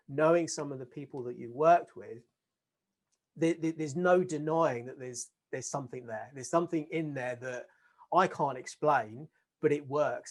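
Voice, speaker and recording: With a normal speaking voice pitched fairly high, a man speaks with ordinary variation in pitch. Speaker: podcast host. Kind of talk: interview host, casual conversation.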